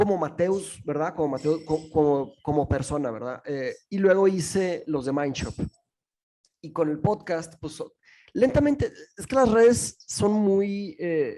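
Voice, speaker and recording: With a Portuguese accent, a man talks at a fairly slow pace in a high pitch and a dark, mellow tone. His intonation is lively, and his loudness swings widely. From Brazil. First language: Portuguese (speaking Spanish). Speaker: philosophy teacher and podcaster. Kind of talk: podcast interview. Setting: remote call. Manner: halting, many fillers and restarts.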